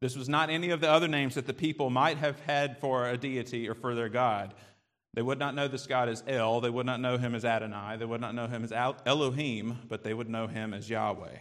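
Amid audible room echo, a man with a Southern US accent and a medium pitch speaks at a fairly quick pace with fairly even intonation. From US South. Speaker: preacher. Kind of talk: sermon.

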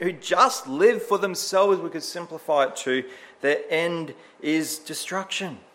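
With an Australian accent, a man speaks at a moderate pace with a high pitch and ordinary pitch variation over noticeable background noise. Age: 30s. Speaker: church elder and preacher. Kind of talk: sermon.

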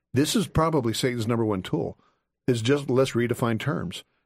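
A man talks in a normal speaking voice at medium pitch. His pace is moderate and his pitch varies in an ordinary way. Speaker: author and apologist. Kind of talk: radio call-in interview. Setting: studio.

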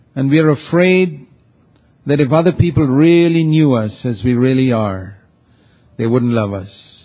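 A man's medium-pitched voice at a moderate pace, lively in intonation, broken by long, frequent pauses. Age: 60s. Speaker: preacher. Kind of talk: sermon.

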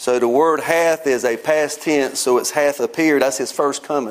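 A plain, everyday voice from a man, fairly high in pitch, with fairly even intonation. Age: 50s. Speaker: preacher. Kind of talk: sermon. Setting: church.

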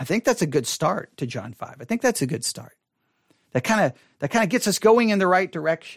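The speaker's pitch swings very widely, with vocal fry. The pace is fairly quick. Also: man, dry, close sound with no echo, very clean recording, silent background. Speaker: pastor and podcast host. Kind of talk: Bible study teaching. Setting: studio, live broadcast.

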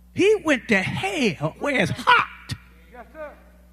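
Noticeable background noise surrounds a man's voice. He speaks at a very slow pace with very wide pitch swings. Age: 80s+. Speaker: guest preacher. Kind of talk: sermon. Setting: church. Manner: folksy, humorous, frank.

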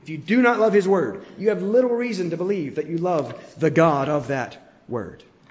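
A man speaks at a fairly slow pace with very wide pitch swings, and audible room echo surrounds his voice. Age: 30s. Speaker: pastor. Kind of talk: sermon. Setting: church.

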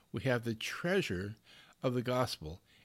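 A medium-pitched man speaks at a fairly slow pace. The recording is very clean, with a silent background. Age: 60s. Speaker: preacher. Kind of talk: sermon. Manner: halting.

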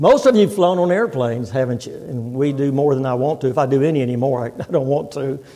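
Talking at a very fast pace with hardly any pauses, a man with an American accent has a fairly high pitch, ordinary pitch variation and a dark, mellow tone, with audible room echo around him. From Texas. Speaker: visiting preacher. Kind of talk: sermon. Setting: church.

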